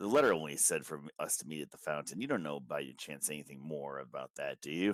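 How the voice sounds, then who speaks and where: Putting on a raspy character voice with a very deep, low pitch, a man rattles along at a very fast pace. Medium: actual play. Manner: hesitant, stammering.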